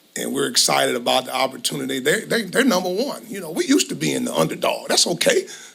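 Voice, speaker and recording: The speech runs at a very fast pace with hardly any pauses. Noticeable background noise can be heard. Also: man. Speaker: college football head coach. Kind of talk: press conference. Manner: passionate.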